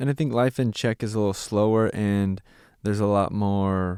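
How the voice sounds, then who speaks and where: A man with a Californian accent speaks at a fairly low pitch with fairly even intonation, recorded very cleanly against a silent background with a dry, close sound and no echo. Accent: Californian American English. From US West, Santa Clarita, California. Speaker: missionary and former pastor. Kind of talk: casual interview.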